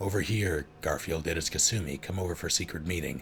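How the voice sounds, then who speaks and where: Against clear background noise, someone puts on a character voice and talks at a fairly quick pace. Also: man, very deep, low pitch for a man. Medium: read story.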